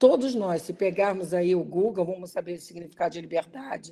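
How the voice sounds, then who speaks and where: In a dark, mellow tone, a woman speaks at medium pitch with ordinary pitch variation. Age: 60s. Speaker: professor. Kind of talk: lecture.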